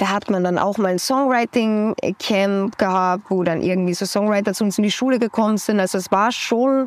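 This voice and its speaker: A woman speaks in a plain, everyday voice at medium pitch, with fairly even intonation. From Austria. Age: 20s. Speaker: singer-songwriter. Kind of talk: casual interview.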